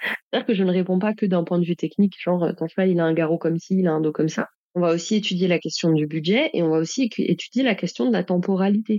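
A woman speaks very fast in a fairly low, dark and mellow voice, with ordinary pitch variation, very even loudness, and a dry, close sound with no echo. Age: 30s. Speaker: saddle fitter and trainer. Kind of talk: casual interview.

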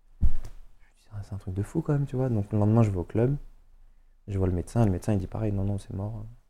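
Fairly low in pitch, this man's voice has a dark, mellow tone. He talks at a fairly quick pace. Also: ordinary pitch variation. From Paris suburbs, Seine-Saint-Denis. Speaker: professional footballer. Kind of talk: casual chat. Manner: animated.

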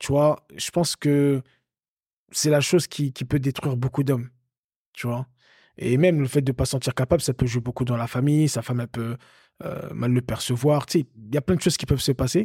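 A man speaks at medium pitch with fairly even intonation and a somewhat breathy quality, leaving long, frequent pauses. The recording is very clean with a silent background, dry and close with no echo. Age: 30s. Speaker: podcast co-host, coach. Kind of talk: casual chat. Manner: halting.

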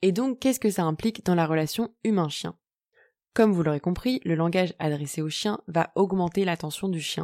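A woman's fairly low-pitched voice has a dark, mellow tone, captured with a dry, close sound with no echo on a very clean recording with a silent background. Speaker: podcast host on dog behaviour. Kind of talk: solo educational podcast.

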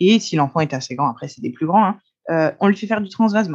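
An unremarkable speaking voice, a woman at medium pitch with lively intonation. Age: 30s. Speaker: osteopath. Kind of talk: casual interview.

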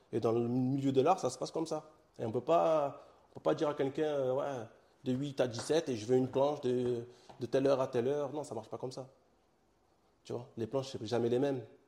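With a dark, mellow tone and a medium pitch, a man talks at a fairly quick pace but leaves long, frequent pauses. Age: young. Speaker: comic book author and publisher. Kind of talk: interview. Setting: his own studio.

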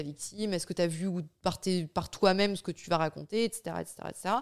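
A normal speaking voice at a moderate pace, with ordinary pitch variation. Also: woman. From France. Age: 20s. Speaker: domestic violence survivor. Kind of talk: testimony.

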